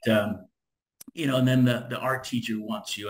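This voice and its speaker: A medium-pitched male voice at a fairly quick pace. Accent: American. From California. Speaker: solar business owner. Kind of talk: interview. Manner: fast, lively.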